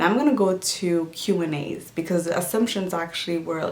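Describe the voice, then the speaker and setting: Amid audible room echo, a woman speaks at a moderate pace in a fairly low pitch with fairly even intonation. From Djibouti. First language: Somali. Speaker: lifestyle vlogger. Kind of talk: casual Q&A vlog.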